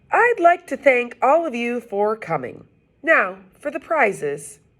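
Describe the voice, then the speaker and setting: A woman's put-on character voice, high-pitched with very wide pitch swings, at a fairly slow pace. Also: big swings in loudness. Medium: read story. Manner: upbeat, announcer-like.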